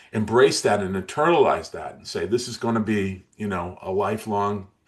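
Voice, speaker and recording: A man speaks in a plain, everyday voice. His pace is moderate, with ordinary pitch variation. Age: 60s. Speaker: motivational speaker and weight loss coach. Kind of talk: interview.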